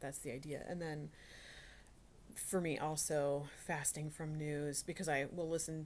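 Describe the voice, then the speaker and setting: A woman speaks quietly at a moderate pace, her very deep, low pitch delivered in a flat monotone. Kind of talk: casual devotional talk. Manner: halting, many fillers.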